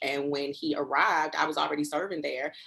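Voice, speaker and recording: A woman with an American accent at a fairly quick pace. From US Northeast, Newark, New Jersey. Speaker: preacher and professor. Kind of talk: interview. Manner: fast.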